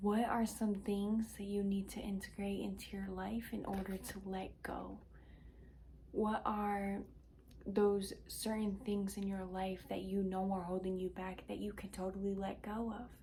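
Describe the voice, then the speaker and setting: Quiet and fairly slow, a woman speaks at a medium pitch in a flat, monotone way. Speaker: tarot and intuitive reader. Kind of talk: intuitive card reading to viewers.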